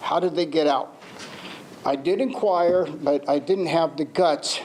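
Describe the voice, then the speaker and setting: A man talks at a moderate pace with a fairly high pitch. Noticeable background noise sits behind him. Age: 60s. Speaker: community member public commenter. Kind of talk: public comment at board meeting.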